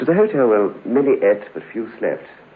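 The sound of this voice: At a fast pace, a man performs a put-on character voice with big pitch swings, a husky, rough edge and a fairly low pitch.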